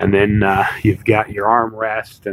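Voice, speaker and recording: A man is speaking, with noticeable background noise. The sound is dry and close, with no echo. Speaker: car salesman. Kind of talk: product walk-around demonstration. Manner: fast; casual, many fillers.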